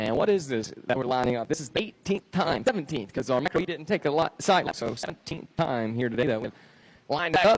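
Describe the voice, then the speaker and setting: A man's very fast speech with lively intonation. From Georgia, US. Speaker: motocross race announcer. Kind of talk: live commentary. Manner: distinctive.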